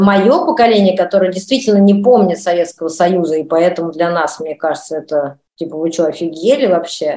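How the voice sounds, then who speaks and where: Talking at a fairly quick pace, a woman uses an ordinary speaking voice, fairly low in pitch with ordinary pitch variation. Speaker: actress and director. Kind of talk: interview.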